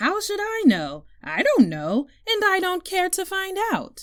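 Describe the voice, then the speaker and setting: A woman puts on a squeaky character voice at an extremely high pitch. She delivers it at a fairly slow pace. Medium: read story.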